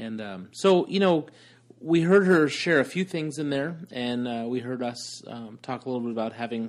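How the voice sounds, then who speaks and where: This is a plain, everyday voice with ordinary pitch variation. It moves at a moderate pace against a quiet background. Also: man. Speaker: homeschooling podcast co-host. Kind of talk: casual chat. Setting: in a car.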